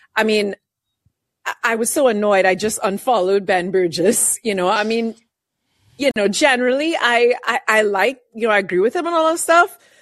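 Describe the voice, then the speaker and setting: Speaking at a moderate pace, a woman uses a plain, everyday voice with fairly high pitch and lively intonation. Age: 30s. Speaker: caller. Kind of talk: casual chat.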